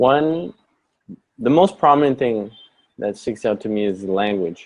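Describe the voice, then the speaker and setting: The man's pitch sits in the medium range, and his intonation is lively. He speaks fairly slowly. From Canada. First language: German. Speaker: interview guest. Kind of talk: interview. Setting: live stream.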